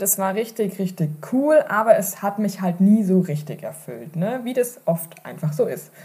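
A woman speaks in an animated tone at a medium pitch. Her intonation is lively and her pace moderate. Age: 30s. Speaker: online marketing podcast host. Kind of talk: solo podcast monologue.

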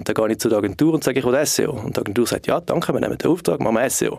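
Here a man speaks at a very fast pace. His pitch sits in the medium range. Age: 30s. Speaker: marketing consultant and startup co-founder. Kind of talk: podcast interview.

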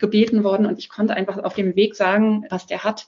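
At a fairly quick pace, a woman with a medium pitch speaks somewhat breathily in a monotone, flat intonation. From Germany, Berlin. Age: 40s. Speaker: single mother sharing her story. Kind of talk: casual interview. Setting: evening recording at home.

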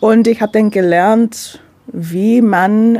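A woman speaks with an English accent. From London, England. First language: English (speaking German). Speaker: menstrual cycle coach. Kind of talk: radio interview. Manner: halting non-native German with fillers.

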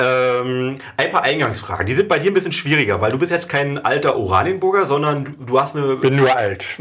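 Amid noticeable background noise, a man speaks at a fairly quick pace and fairly high pitch with lively intonation and hardly any pauses. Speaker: mayor and podcast host. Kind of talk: interview.

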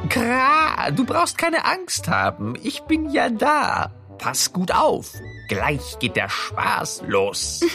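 A croaky, put-on character voice at a very slow pace, with clear music in the background. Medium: audio drama. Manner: reassuring, knowing.

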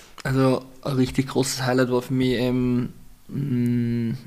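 A man with an Austrian accent, moderate pace and monotone, flat intonation. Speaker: Muay Thai fighter. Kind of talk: casual chat.

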